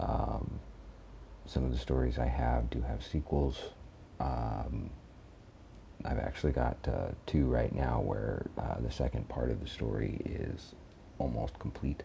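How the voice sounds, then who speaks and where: A soft-spoken man with a very deep, low pitch, vocal fry and monotone, flat intonation. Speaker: horror story narrator and channel host. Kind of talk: casual channel update. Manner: halting. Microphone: headphone mic plugged into phone.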